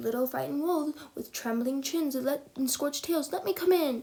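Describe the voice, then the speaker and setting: Put-on character voice, fairly quick in pace. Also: woman, high pitch for a woman. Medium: read story. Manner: menacing, blustering.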